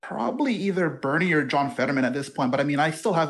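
A fairly high-pitched man talking at a very fast pace. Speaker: caller. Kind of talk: call-in conversation.

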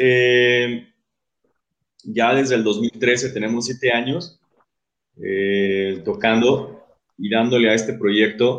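At a very slow pace with long, frequent pauses, a man speaks in a medium pitch. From Mexico, Guadalajara (Jalisco). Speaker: metal band vocalist. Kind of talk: casual interview. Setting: video call livestream.

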